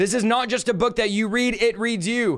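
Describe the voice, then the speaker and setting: A man shouts loudly at an extremely high pitch, his tone excited and passionate. The recording is very clean, with a silent background. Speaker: podcast host, preacher. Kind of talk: energetic sermon-style teaching. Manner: fast talker; excited, passionate.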